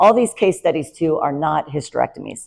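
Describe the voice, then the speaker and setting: A woman speaks at a fairly quick pace in a dark, mellow tone with vocal fry and ordinary pitch variation. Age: 50s. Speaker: nurse practitioner. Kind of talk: presentation talk. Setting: talk with slides.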